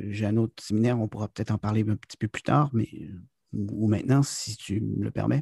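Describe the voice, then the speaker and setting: The recording of a man with a Quebec accent is dry and close, with no echo. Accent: Québécois French. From Quebec, town near US border. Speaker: business consultant and corporate trainer. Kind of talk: interview. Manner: halting, many hesitations.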